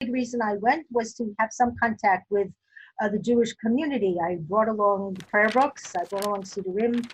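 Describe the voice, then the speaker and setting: A woman's fairly high, somewhat breathy voice with a New York accent, fairly quick pace and ordinary pitch variation. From US Northeast, Brooklyn, New York. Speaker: interviewee, older adult. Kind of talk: life story interview. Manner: hesitant, many fillers.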